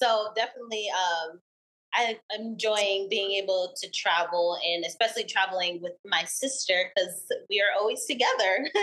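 A woman with an ordinary speaking voice talks at medium pitch and a moderate pace. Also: ordinary pitch variation. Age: 20s. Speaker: small business owner. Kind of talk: casual interview.

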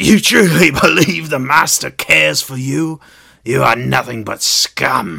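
A man puts on a raspy character voice at a medium pitch. He delivers it at a fairly slow pace. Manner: mocking, scornful.

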